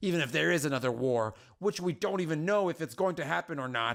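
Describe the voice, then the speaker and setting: Using a put-on character voice with a fairly high pitch, a man talks at a very fast pace with lively intonation in a very clean recording with a silent background. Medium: game stream. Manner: blunt, impatient.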